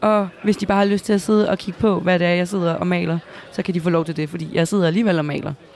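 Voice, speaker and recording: Over noticeable background noise, a woman talks at a very fast pace. Her voice is fairly low, with fairly even intonation. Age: 20s. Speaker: gamer and streamer. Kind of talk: interview. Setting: gaming event venue. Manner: halting.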